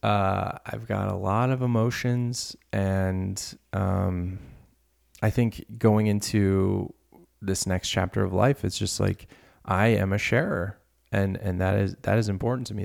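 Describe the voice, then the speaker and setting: In a very clean recording with a silent background, a man with an American accent speaks at a fairly low pitch. His intonation is fairly even and his pace fairly slow. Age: 30s. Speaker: podcast host. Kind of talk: casual monologue. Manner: halting, many repetitions.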